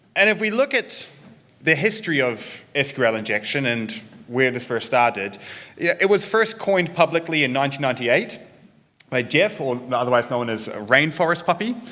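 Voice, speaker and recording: With a New Zealand accent, a man speaks at a moderate pace in a fairly high voice. His tone is bright and sharp, and his pitch swings very widely. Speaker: security researcher and developer advocate. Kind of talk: conference talk.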